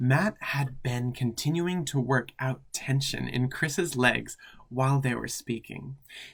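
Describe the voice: This is plain reading aloud. The pitch variation is ordinary.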